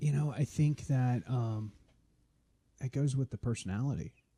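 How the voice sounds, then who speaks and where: A man with an American accent speaks at medium pitch in a dark, mellow tone, somewhat breathy, with ordinary pitch variation and long, frequent pauses. The sound is dry and close, with no echo. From northern Florida. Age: 40s. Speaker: chef and podcast host. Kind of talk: casual interview chat. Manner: animated.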